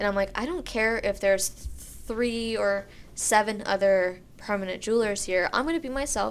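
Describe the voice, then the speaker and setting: In an American accent, a woman with an ordinary speaking voice talks at a moderate pace and a fairly high pitch. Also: very clean recording, silent background. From Pennsylvania, US. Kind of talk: casual chat. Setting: recording on location in a studio suite with street noise.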